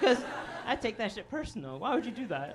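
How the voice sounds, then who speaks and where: With an American accent, a man talks through audible room echo and noticeable background noise. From Chicago south suburbs. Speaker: comedian. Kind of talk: stand-up. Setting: stage with audience.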